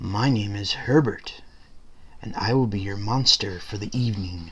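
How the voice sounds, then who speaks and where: Using a put-on character voice, a man speaks breathily at a fairly low pitch. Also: moderate pace. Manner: polite, formal.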